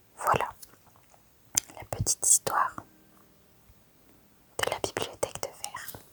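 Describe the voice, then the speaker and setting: Whispering at a fairly slow pace with long, frequent pauses, over noticeable background noise. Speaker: ASMR content creator. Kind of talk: ASMR gameplay video with whispered reading and mouth sounds. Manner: soft, relaxing, whispered.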